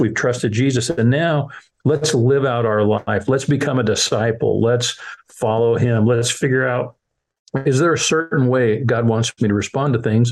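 Using an ordinary speaking voice, a man of medium pitch talks at a moderate pace with ordinary pitch variation. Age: 60s. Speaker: children's ministry leader. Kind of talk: interview.

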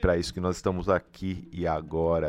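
A very deep, low-pitched man with a Brazilian accent in a flat monotone, over music in the background. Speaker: radio host. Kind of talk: radio show commentary.

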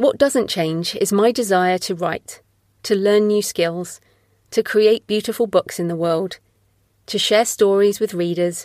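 In a normal speaking voice at medium pitch, a woman talks at a fairly slow pace with ordinary pitch variation, captured with a dry, close sound, no echo, and a very clean, silent background. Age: 40s. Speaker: podcast host and author. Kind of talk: solo monologue. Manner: scripted reading.

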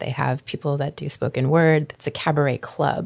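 This woman has a very deep, low pitch with vocal fry. Her intonation is lively and her pace moderate. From Anchorage, Alaska. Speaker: burlesque performer and dance company co-owner. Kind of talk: interview. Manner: casual, frequent fillers.

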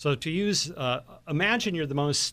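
In a plain, everyday voice with lively intonation, the speaker goes at a moderate pace on a very clean recording with a silent background. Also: man. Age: 60s. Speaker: magazine publisher and author. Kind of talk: radio interview. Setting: studio.

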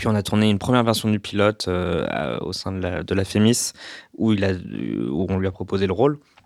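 On a very clean recording with a silent background, a man with a very deep, low pitch talks at a moderate pace with lively intonation. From France, Paris suburbs. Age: 30s. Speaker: screenwriter. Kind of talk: casual chat.

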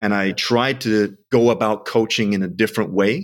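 At a moderate pace, a man with an ordinary speaking voice talks fairly low, with ordinary pitch variation. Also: very clean recording, silent background. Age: 40s. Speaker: sprint and strength coach, CEO. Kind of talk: casual interview chat.

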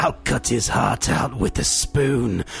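A put-on, raspy character voice at a fairly slow pace over clear background noise. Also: man, medium pitch for a man. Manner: menacing.

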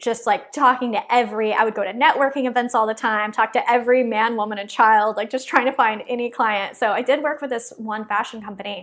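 A woman with a fairly high pitch and ordinary pitch variation talks in an ordinary speaking voice. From Texas. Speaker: entrepreneur. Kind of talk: interview.

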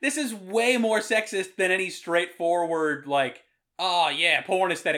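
A man speaks at a high pitch in a raised, projected voice with a bright, sharp tone. His pace is fairly slow and his loudness very even. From US Northeast, Rhode Island. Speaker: podcast host. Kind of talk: casual chat. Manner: irreverent, jokey.

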